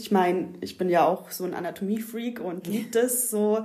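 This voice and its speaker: A woman speaks at a moderate pace in a medium pitch. Background noise is noticeable. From southern Germany, Ulm area (Swabia). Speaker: yoga teacher. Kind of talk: casual chat. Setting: at the host's home.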